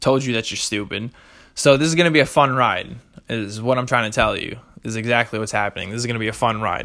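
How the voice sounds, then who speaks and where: Talking at a very fast pace, a man has a medium pitch and a bright, sharp tone. His pitch variation is ordinary. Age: 20s. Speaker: solo podcast host. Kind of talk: casual monologue. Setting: home recording. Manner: hesitant, many fillers.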